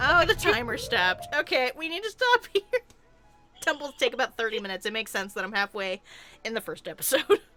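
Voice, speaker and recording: A woman's high-pitched voice at a very fast pace, with very wide pitch swings and music in the background. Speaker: let's play co-host. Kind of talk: casual gameplay chat.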